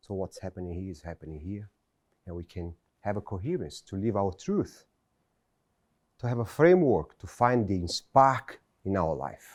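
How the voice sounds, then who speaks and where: Recorded dry and close with no echo and a very clean, silent background, a man with a Brazilian Portuguese accent and fairly low pitch speaks at a moderate pace with lively intonation, big swings in loudness and long, frequent pauses. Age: 40s. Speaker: motivational speaker. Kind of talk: motivational speech. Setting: stage with audience.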